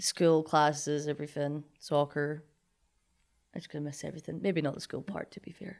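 A woman's very deep, low voice in a Scottish accent, fairly quick and monotone, flat in intonation, on a very clean recording with a silent background. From Scotland, Linlithgow. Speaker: college athlete and graduate student. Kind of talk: casual chat.

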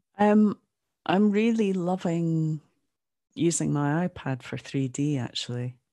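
A woman with a northeast Scottish accent speaks at a fairly slow pace in a fairly low, dark, mellow voice, with lively intonation and long, frequent pauses. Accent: Scottish, northeast Scotland. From Aberdeen, Scotland. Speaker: NFT artist. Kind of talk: casual interview chat.

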